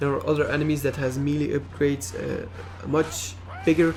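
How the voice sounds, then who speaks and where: A man at a moderate pace, fairly high in pitch, with lively intonation and noticeable background noise. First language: not English. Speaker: video game reviewer. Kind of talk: gameplay commentary. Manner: halting, many fillers.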